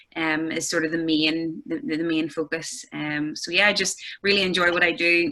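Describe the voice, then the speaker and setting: A woman with a Northern Irish accent, fairly low in pitch, with ordinary pitch variation and a bright, sharp tone. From Northern Ireland, County Armagh. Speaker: golf instructor. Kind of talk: casual chat. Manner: hesitant, many fillers.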